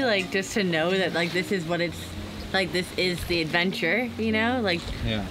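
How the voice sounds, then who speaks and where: Noticeable background noise sits behind speech at a moderate pace with ordinary pitch variation. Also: woman. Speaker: sailing vlogger. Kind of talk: casual vlog chat. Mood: excited, emotional, smiling. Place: boat. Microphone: camera far.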